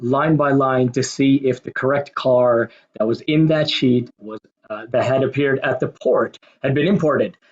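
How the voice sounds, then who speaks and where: A man speaks at a fairly slow pace with a slight American accent, his fairly high pitch held in fairly even intonation. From Kuwait and Pakistan, American school. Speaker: marketing manager, talk speaker. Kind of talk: presentation talk.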